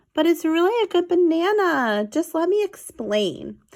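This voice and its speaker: Squeaky and extremely high, this put-on character voice moves at a moderate pace. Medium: read story. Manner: persistent, chummy.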